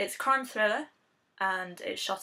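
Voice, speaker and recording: A woman speaks at a fairly quick pace in an English accent, her tone bright and sharp. Her pitch rises and falls in an ordinary way. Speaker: film reviewer. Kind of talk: video blog review. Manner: casual with frequent fillers.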